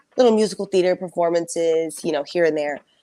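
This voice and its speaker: With ordinary variation in her pitch, this woman talks in a fairly low register. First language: Spanish. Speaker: singer and dancer. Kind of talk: interview. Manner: casual, many fillers.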